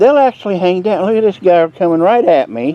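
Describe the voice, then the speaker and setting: Noticeable background noise sits behind a voice with a relaxed tone. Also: man. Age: 60s. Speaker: home gardener, video creator. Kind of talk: casual garden tour vlog. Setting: outdoors in garden. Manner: relaxed, halting with fillers.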